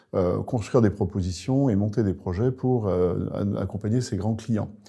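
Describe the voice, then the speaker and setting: A man's fairly low voice with a dark, mellow tone and ordinary pitch variation, over a quiet background. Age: 60s. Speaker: public sector sales manager. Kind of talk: recruitment video interview. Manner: hesitant, many fillers.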